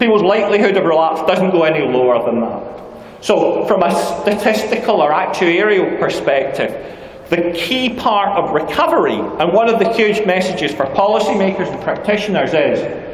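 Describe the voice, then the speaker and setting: Noticeable background noise and audible room echo accompany a man with a high pitch and lively intonation speaking at a moderate pace. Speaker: criminology professor and conference speaker. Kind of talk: conference keynote lecture. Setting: stage at a conference with audience.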